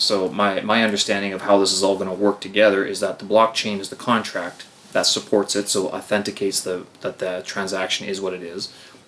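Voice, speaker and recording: Over noticeable background noise, a man with a fairly low pitch talks at a fairly quick pace in a monotone, flat intonation with hardly any pauses. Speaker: podcast host. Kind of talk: casual chat. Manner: stumbling.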